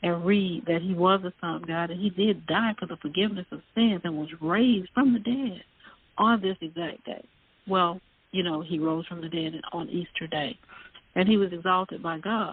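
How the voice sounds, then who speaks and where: In a Southern US accent, a woman with a fairly low pitch speaks at a moderate pace with ordinary pitch variation. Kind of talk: casual chat. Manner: halting.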